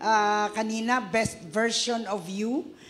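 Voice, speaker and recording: A woman's fairly high voice with ordinary pitch variation, noticeable background noise and audible room echo. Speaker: church MC. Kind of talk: church announcements. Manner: loud.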